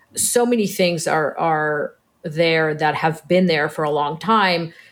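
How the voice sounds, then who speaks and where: A woman with an American accent has an unremarkable speaking voice. She talks fairly slowly at a fairly low pitch. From Israel until 10, then Orange County, California. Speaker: criminal defense attorney. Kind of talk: interview.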